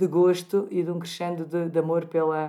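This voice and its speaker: A woman speaks at a moderate pace in a dark, mellow tone. Her pitch is fairly low. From Portugal, Algarve. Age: 50s. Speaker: gynecologist and clinic director. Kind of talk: interview.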